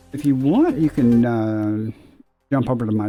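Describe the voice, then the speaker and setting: There is music in the background as a man speaks. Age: 60s. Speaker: gaming livestreamer. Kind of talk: casual chat.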